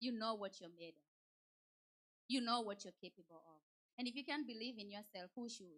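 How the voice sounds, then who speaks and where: Animated in tone, a woman with a Kenyan accent talks at a fairly quick pace, with a fairly high pitch and ordinary pitch variation. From Kenya, Nairobi. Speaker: church speaker. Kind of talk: motivational talk.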